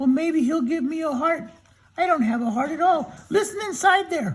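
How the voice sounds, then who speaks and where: A man puts on a squeaky character voice at an extremely high pitch. He keeps a moderate pace. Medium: read story.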